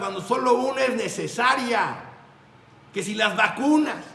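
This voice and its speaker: This man's raised, projected voice sits extremely high and moves at a fairly slow pace, with noticeable background noise and audible echo in the room. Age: 60s. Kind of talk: religious talk.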